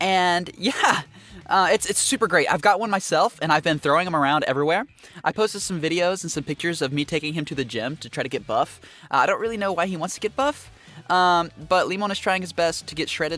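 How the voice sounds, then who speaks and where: A loud man with a high pitch talks at a very fast pace with ordinary pitch variation. His tone is animated, bright and sharp. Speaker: VTuber singer and streamer. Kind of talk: casual live stream chat. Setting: live stream.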